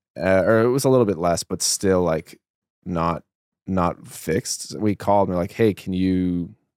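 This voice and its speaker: Ordinary pitch variation with a dry, close sound with no echo. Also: man. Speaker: podcast host and studio manager. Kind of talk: casual chat. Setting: studio. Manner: casual, conversational.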